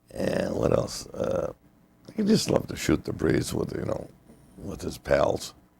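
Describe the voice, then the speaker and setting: A man with a Chicago accent at a fairly slow pace. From North Side of Chicago. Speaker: retired union janitor and boiler fireman. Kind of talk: oral history interview answer.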